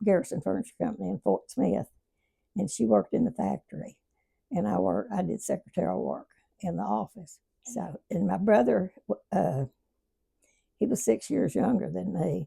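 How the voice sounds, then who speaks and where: Speaking at a moderate pace with long, frequent pauses, the voice has an Arkansas accent, a dark, mellow tone, vocal fry and very wide pitch swings, in a dry, close sound with no echo. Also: woman, very deep, low pitch for a woman. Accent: Southern US (Arkansas). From Arkansas, US South. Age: 90s. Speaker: elderly interviewee. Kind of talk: casual interview reminiscence. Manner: halting.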